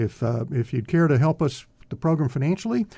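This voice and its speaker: Against a quiet background, a man with an American accent talks at a moderate pace, his voice fairly high, somewhat breathy and dark and mellow in tone, with lively intonation. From Texas (Greenville). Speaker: radio host. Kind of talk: interview; radio announcement. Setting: studio.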